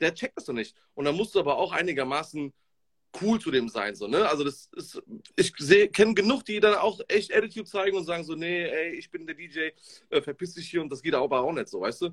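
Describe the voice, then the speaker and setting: At a fairly quick pace, a high-pitched man speaks in an animated tone with lively intonation, recorded dry and close with no echo. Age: 30s. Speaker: DJ. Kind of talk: casual chat.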